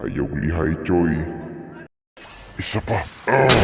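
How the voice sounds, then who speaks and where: In a put-on character voice, a man speaks at a very deep, low pitch and a very slow pace with lively intonation and a slight echo. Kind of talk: comic overacting. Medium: fan dub.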